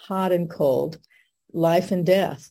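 A woman's fairly low, dark, mellow voice at a very slow pace, with fairly even intonation. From US Southwest (Albuquerque, New Mexico). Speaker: marriage and family therapy professor, Sunday school teacher. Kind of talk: scripture lesson on a video call. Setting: video call.

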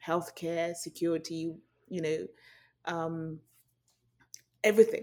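The recording is very clean, with a silent background. The speaker has a British accent and a moderate pace. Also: woman. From Nigeria, then raised in UK. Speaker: journalist, news correspondent. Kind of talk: interview.

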